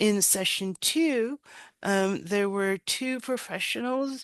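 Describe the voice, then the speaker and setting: Speaking very slowly, a woman with an American accent uses a medium pitch and ordinary pitch variation. The background is quiet. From United States. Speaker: webinar host, workforce development manager. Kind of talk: webinar moderation.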